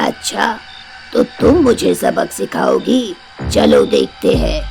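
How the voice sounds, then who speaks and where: A man performs a cartoonish character voice at a very slow pace. Clear background noise runs behind him. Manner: menacing, taunting.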